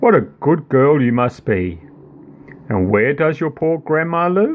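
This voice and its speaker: At a fairly slow pace, a man performs a put-on character voice pitched fairly high. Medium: read story. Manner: silky, coaxing.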